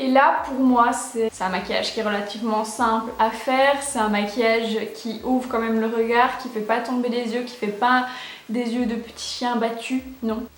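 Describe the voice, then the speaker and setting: Amid noticeable background noise, a woman with a fairly high pitch speaks at a moderate pace in a monotone, flat intonation. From Belgium. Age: 20s. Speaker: beauty youtuber. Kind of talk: makeup tutorial talk to camera. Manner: casual, chatty.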